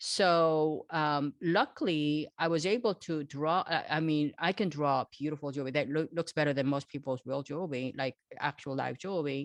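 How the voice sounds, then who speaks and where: With a Korean accent and a very deep, low voice, a woman speaks at a moderate pace with hardly any pauses, in a dry, close sound with no echo. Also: ordinary pitch variation. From South Korea, moved to Los Angeles at 13. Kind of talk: interview. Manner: conversational, many fillers and restarts.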